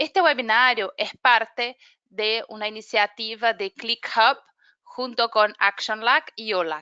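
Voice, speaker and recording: Very slowly, a woman speaks with a Brazilian accent. Her voice is fairly high, with ordinary pitch variation. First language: Portuguese (speaking Spanish). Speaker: webinar moderator, climate program manager. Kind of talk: webinar introduction. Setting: online webinar.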